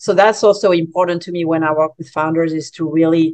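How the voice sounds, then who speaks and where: With a French accent, a woman speaks at a moderate pace and a fairly low pitch. Her intonation stays monotone and flat. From France. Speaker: business coach. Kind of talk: interview. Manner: halting, many fillers.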